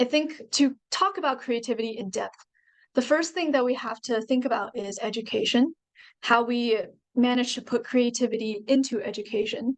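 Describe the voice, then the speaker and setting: A woman speaks in a high voice with a Chinese accent. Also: ordinary pitch variation, moderate pace. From China. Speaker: university student and author. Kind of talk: presentation.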